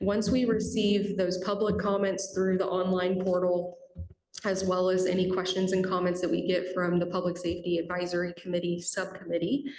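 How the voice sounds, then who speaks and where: With a flat, monotone delivery at a medium pitch, a woman talks over noticeable background noise in a room with audible echo. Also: very even loudness. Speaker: transit agency staff presenter. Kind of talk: public meeting presentation. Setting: committee meeting boardroom. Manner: fast.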